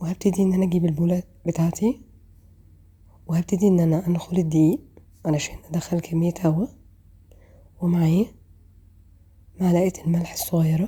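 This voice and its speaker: A woman speaks at a fairly slow pace with a fairly low pitch. Her voice is somewhat breathy, with fairly even intonation. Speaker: cooking channel host. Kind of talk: cooking tutorial. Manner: casual and chatty.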